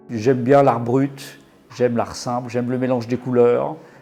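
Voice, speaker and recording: A medium-pitched male voice against noticeable background noise. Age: 60s. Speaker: gallery owner and painter. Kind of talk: interview. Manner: hesitant, many fillers.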